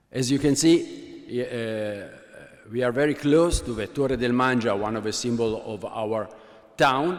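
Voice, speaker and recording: Over audible room echo, a man with an Italian accent speaks at a medium pitch with ordinary pitch variation. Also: fairly slow pace. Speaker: computer scientist running a university observatory. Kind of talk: conference talk. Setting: workshop presentation with slides. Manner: halting, many filler sounds.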